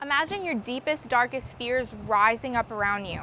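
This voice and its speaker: A woman speaks at a moderate pace. Music can be heard behind her. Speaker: television news reporter. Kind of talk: TV news report.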